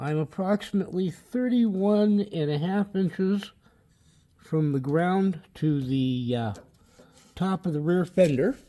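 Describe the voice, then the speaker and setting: Talking fairly slowly, a man uses lively intonation at a high pitch. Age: 60s. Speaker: car hobbyist video maker. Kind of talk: casual tutorial. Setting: outdoors in backyard. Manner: hesitant, many fillers.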